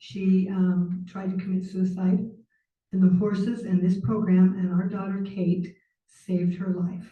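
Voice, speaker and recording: A woman's medium-pitched voice with an American accent, fairly slow and monotone with flat intonation, somewhat breathy and dark, mellow in tone. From Utah. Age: 60s. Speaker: public commenter. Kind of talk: public comment at council meeting. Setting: city council meeting.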